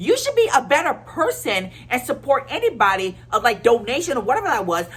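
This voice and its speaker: A woman's voice with very wide pitch swings. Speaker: YouTuber. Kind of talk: casual rant to camera. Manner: halting, many fillers and restarts.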